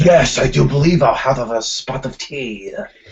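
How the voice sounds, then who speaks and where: A man uses a put-on character voice that is raspy, pitched in the middle range, and delivered at a moderate pace. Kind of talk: overly eloquent, formal.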